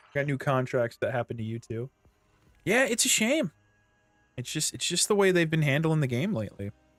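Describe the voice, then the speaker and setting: Loud, with a fairly high voice and very wide pitch swings, a man speaks at a fairly quick pace with long, frequent pauses, while music plays in the background and the sound stays dry and close with no echo. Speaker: gaming streamer. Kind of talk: live gameplay stream chat. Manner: casual, chatty.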